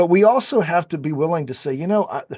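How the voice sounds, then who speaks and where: Delivered at a very fast pace with ordinary pitch variation, the speech has a dry, close sound with no echo. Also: man. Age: 60s. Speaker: public speaking coach. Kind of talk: interview conversation. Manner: halting, repeats words.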